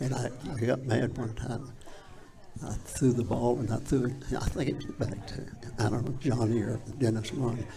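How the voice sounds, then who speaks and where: A man's medium-pitched voice with fairly even intonation, long and frequent pauses, audible room echo and noticeable background noise. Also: moderate pace. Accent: Appalachian. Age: 80s+. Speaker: former high school football player. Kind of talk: interview storytelling. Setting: live studio.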